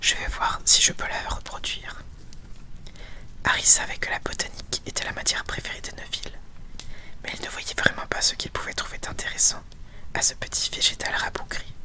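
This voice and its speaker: Whispering at a moderate pace with long, frequent pauses over noticeable background noise. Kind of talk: audiobook reading. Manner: whispered.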